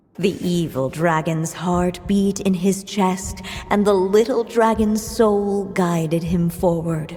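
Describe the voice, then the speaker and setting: A female-sounding, cartoonish character voice at medium pitch speaks at a fairly slow pace. Background noise is clearly heard. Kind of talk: fairy-tale narration. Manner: measured, solemn.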